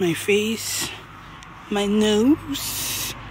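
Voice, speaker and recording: Light background noise sits behind a woman's voice. The sound is dry, with no echo. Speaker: expectant mother vlogger. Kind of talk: casual vlog chat.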